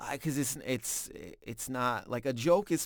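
A man talks at a fairly slow pace with a medium pitch. He has an ordinary speaking voice and ordinary pitch variation. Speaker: stand-up comedian. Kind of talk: casual chat.

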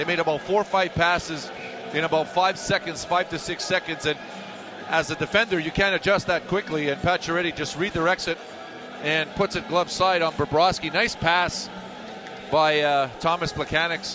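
Over noticeable background noise, a man talks in a high voice with fairly even intonation. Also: moderate pace. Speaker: radio color analyst, former hockey player. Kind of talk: live sports commentary analysis. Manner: conversational, hesitant, filler words, relaxed.

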